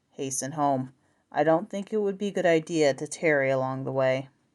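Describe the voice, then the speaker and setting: In a gruff, put-on character voice with a very deep, low pitch, a woman talks at a fairly quick pace over a quiet background. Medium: read story. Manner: gruff, knowing.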